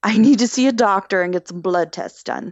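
A woman talks at a fairly quick pace with an ordinary speaking voice. Her pitch is medium, with ordinary variation. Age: 20s. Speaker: mental health guest. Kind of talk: personal testimony in casual interview.

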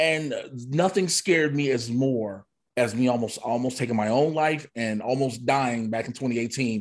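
A man talks at a moderate pace in an ordinary speaking voice, with ordinary pitch variation. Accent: American. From Chicago. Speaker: comedian and wrestler. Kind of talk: casual interview chat.

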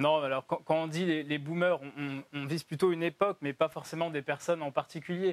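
Speaking at a moderate pace with fairly even intonation, a man with a fairly high pitch has an unremarkable speaking voice, recorded very cleanly with a silent background and a dry, close sound with no echo. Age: 20s. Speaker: think tank president. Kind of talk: televised debate.

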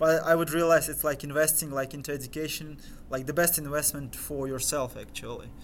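A man's fairly high, monotone voice with flat intonation at a fairly quick pace. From Crimea, Ukraine. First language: Crimean Tatar. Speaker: interview guest. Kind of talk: casual chat.

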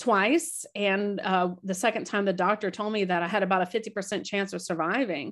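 Against a quiet background, a woman with an American accent speaks at medium pitch and a moderate pace, with ordinary pitch variation. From Florida, US. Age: 50s. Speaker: author and tour guide. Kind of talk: interview testimony. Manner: halting, with many repetitions.

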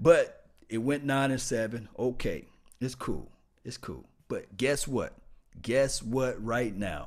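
A man speaks with a Mississippi accent. His pace is very slow, with long, frequent pauses. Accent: Mississippi Southern US. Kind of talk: casual livestream sports talk. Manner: casual, chatty, animated.

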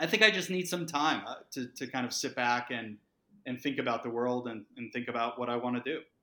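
In an ordinary speaking voice, a man talks at a fairly quick pace with an American accent. His pitch is medium, with ordinary variation. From Massachusetts. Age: 40s. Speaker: startup founder and CEO. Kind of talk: podcast interview.

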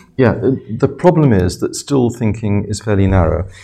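With an English accent, the voice is somewhat breathy and has a dark, mellow tone with ordinary pitch variation. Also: man. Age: 70s. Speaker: professor. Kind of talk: interview.

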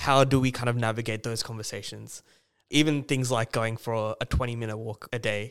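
A man with an Australian accent speaks at a fairly quick pace in a medium pitch, on a very clean recording with a silent background. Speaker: podcast host. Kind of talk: casual interview.

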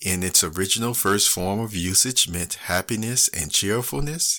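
A man's fairly slow, dramatic delivery with a bright, sharp tone, on a very clean recording with a silent background. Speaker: podcast host. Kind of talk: reading aloud a classic novel chapter after commentary. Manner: measured, storytelling cadence with dramatic emphasis; halting with filler words in casual talk.

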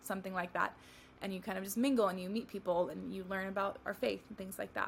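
A woman speaks very fast with an American accent. Her medium-pitched voice has vocal fry. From California. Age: 20s. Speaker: wedding photographer. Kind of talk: casual interview chat.

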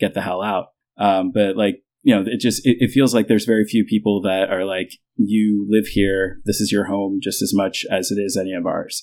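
In a very clean recording with a silent background, a man with a plain, everyday voice and an American accent speaks at a moderate pace, his pitch fairly low and his intonation fairly even. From United States, Indian heritage. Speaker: expat guest. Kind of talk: casual interview.

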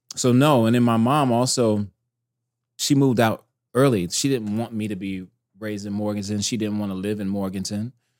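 This man has a plain, everyday voice, fairly low in pitch, with an American accent and fairly even intonation. The recording is very clean, with a silent background. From US South, North Carolina. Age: 30s. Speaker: animation director. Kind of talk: casual chat.

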